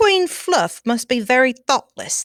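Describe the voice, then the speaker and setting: Talking at a fairly slow pace, a woman puts on a high-pitched character voice. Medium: read story.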